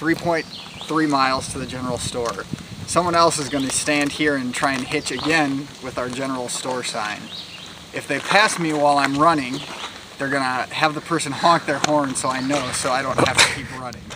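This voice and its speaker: A man speaks at a moderate pace. There is noticeable background noise, and the sound is dry with no echo. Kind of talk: casual vlog chat. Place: open country. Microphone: phone near.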